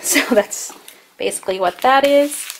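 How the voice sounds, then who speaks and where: Moderate pace with light background noise. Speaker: family vlogger. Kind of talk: casual vlog chat. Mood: cheerful, relaxed. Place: home room. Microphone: phone near.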